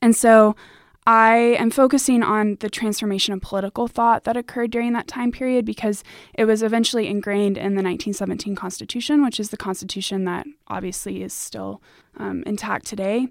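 An ordinary speaking voice from a woman, fairly high in pitch, at a fairly quick pace with fairly even intonation, on a very clean recording with a silent background. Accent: American. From United States. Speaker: university student. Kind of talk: academic interview.

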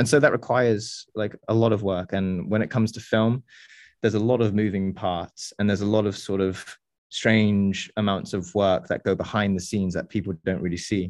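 Speaking fairly quickly with an English accent, a man uses a fairly low pitch and fairly even intonation. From England. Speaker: videographer and former pole vaulter. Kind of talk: casual chat.

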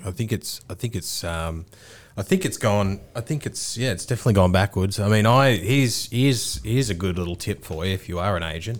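A man talks very fast with an Australian accent and ordinary pitch variation. The recording is very clean, with a silent background. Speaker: podcast host. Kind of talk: casual banter.

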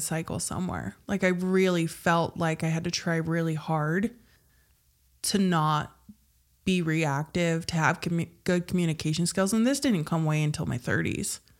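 A woman talks at a moderate pace with fairly low pitch and ordinary pitch variation, in a normal speaking voice. The recording is very clean, with a silent background. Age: 30s. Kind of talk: casual chat.

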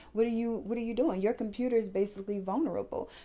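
This woman has an American accent. Her tone is dark and mellow. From US, Atlanta area. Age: 30s. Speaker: podcast host. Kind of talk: testimony. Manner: casual, conversational.

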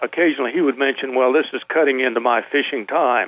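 This man has a plain, everyday voice, pitched medium, with ordinary pitch variation. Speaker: former radio announcer, calling in. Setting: phone.

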